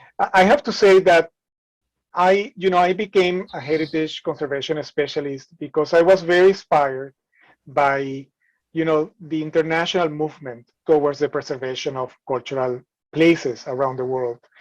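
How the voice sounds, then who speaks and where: Fairly high male speech with ordinary pitch variation, delivered at a moderate pace. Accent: non-native. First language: not English. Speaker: professor of heritage conservation. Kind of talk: panel discussion.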